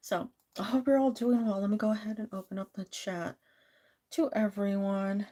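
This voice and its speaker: Somewhat breathy, a woman speaks at a moderate pace. Her fairly high voice carries a dark, mellow tone. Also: ordinary pitch variation. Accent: American. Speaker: live tarot reader, streamer. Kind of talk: casual live-stream chat. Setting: live stream.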